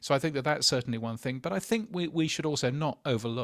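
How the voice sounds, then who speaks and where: A man with a British accent speaks at a fairly high pitch, his intonation lively. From Britain. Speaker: podcast industry news editor. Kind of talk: casual panel discussion. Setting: remote call from a hotel.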